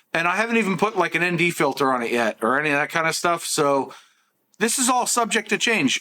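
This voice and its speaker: A man talks at a very fast pace in a raised, projected voice. His tone is bright and sharp, with very wide pitch swings. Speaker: tech youtuber. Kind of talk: product review vlog. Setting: outdoors and in a store. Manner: casual, chatty.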